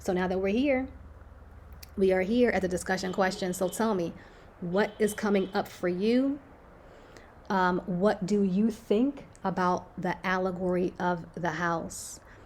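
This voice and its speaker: Her pitch is medium, with ordinary variation. The woman speaks at a fairly slow pace with long, frequent pauses. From Philadelphia, US. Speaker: book discussion host. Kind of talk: book discussion with read-aloud. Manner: casual, halting with fillers.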